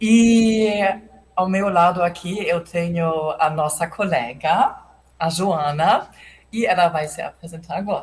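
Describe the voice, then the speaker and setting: A woman's somewhat breathy, fairly low voice in a German accent, very slow, with ordinary pitch variation. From Germany. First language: German (speaking Portuguese). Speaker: mission coordinator. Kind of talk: casual chat. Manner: halting, many hesitations.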